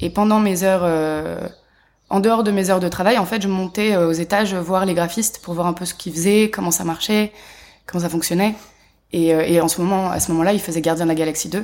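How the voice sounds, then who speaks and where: A woman's normal speaking voice at a medium pitch, with fairly even intonation and a fairly quick pace. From Paris, France. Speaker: animation production manager. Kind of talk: interview. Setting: at a film festival.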